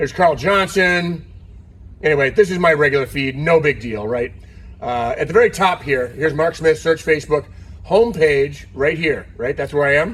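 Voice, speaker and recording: A normal speaking voice from a man, fairly high in pitch, with ordinary pitch variation and a moderate pace. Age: 60s. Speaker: car builder and business owner. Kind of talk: tutorial. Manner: casual.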